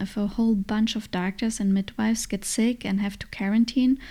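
A woman's fairly high, somewhat breathy voice with a German accent, dark and mellow in tone, monotone and flat, at a fairly quick pace. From Germany. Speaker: podcast host, mother. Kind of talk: solo podcast monologue. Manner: hesitant, frequent fillers.

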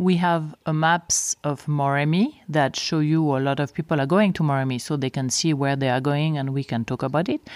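In a Swiss French accent, a woman speaks at a moderate pace in a very deep, low voice with fairly even intonation and hardly any pauses. The recording is very clean, with a silent background and a dry, close sound with no echo. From French-speaking Switzerland, near Geneva. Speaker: safari lodge co-owner. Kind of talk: solo podcast monologue.

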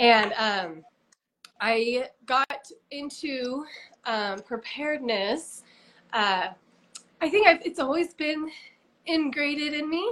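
A woman's high voice in an American accent, very slow pace with long, frequent pauses, and lively intonation. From Utah. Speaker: preparedness influencer. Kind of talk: interview.

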